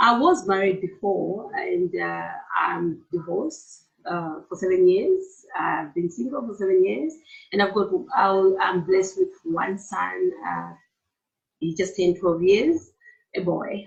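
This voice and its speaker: A woman with a Malawian accent speaks at a fairly slow pace. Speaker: therapist and entrepreneur. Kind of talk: interview.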